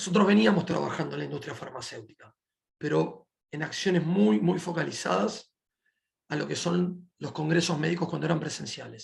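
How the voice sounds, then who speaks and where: A man's fairly high voice with vocal fry and lively intonation, at a moderate pace. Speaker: company representative presenting a webinar. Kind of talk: webinar presentation. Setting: online webinar.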